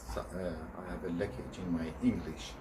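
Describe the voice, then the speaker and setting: A man with a non-native accent speaks at a moderate pace, with audible room echo around him. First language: not English. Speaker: video blogger. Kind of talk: personal vlog monologue. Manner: halting.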